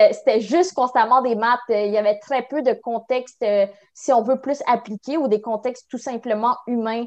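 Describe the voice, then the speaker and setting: In a Quebec accent, a woman with a high pitch speaks with fairly even intonation against a quiet background. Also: moderate pace. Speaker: university student. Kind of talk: interview. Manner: halting.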